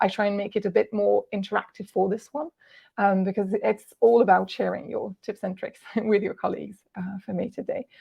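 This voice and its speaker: The speaker has a Walloon accent and talks at a fairly quick pace. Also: woman. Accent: French-speaking Belgian. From Belgium, French-speaking. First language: French. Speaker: translator and software ambassador. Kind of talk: webinar presentation. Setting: online webinar. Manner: hesitant with frequent fillers.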